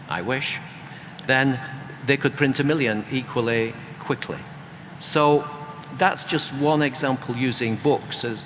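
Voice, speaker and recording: Someone with a British accent talks at a fairly slow pace with ordinary pitch variation amid noticeable background noise. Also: man. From UK. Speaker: author and creative economy expert. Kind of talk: panel discussion.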